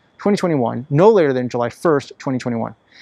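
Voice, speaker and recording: Speaking very fast with lively intonation, a man with a fairly high pitch and a dark, mellow tone comes through in a dry, close sound with no echo. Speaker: volunteer attorney. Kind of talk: legal explainer tutorial.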